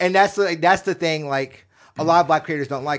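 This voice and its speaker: Heard on a very clean recording with a silent background, a man with an ordinary speaking voice and an American accent talks at a fairly high pitch with ordinary pitch variation. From US South, Alabama (Baldwin County). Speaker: podcast guest, creator. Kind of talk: casual chat.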